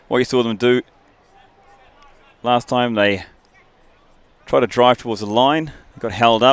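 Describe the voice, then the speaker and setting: A man talks at a fairly slow pace with fairly even intonation, long, frequent pauses, and big swings in loudness. The sound is dry and close with no echo, over noticeable background noise. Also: medium pitch for a man. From New Zealand. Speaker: rugby commentator. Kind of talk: live commentary.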